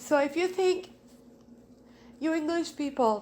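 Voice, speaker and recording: With a non-native accent, a woman talks with ordinary pitch variation. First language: not English. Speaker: friend of the deceased. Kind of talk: eulogy.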